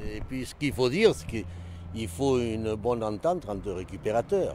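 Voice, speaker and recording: Noticeable noise sits in the background. Against it, a man talks with lively intonation. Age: 60s. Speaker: scrap metal collector. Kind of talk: interview.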